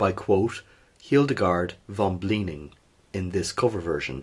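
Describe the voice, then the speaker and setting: Somewhat breathy male voice at a moderate pace with lively intonation. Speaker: history podcast host. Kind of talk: history podcast narration.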